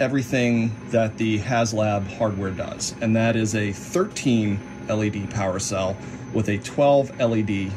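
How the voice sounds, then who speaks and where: A man's speech comes at a fairly slow pace. Behind it, background noise is noticeable. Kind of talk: tutorial. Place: workshop. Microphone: phone near.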